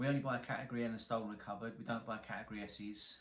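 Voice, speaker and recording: A man with a strong London accent and ordinary pitch variation, over noticeable background noise. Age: 40s. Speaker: car salvage repairer, YouTuber. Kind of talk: casual to-camera introduction. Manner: hesitant, many fillers.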